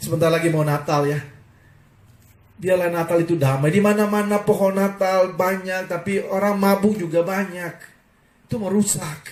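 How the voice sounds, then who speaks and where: Fairly even intonation comes through against audible room echo. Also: man, high pitch for a man, moderate pace. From Indonesia, Ambon (Maluku). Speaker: pastor. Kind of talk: sermon. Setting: online live broadcast.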